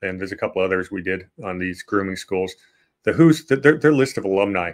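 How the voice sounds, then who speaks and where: On a very clean recording with a silent background, a man speaks in a normal speaking voice. His fairly low pitch shows ordinary variation at a fairly quick pace. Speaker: history podcast host. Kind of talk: casual history discussion.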